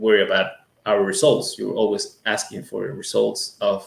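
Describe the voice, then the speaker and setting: Speaking at a fairly slow pace, a man talks with a Latin American accent. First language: Spanish. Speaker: music school owner. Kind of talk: interview. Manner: hesitant, many fillers.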